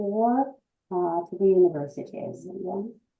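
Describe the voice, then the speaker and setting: With music in the background, a woman speaks at a fairly slow pace with fairly even intonation. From Russia. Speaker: English teacher. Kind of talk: presentation. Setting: video call. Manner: halting.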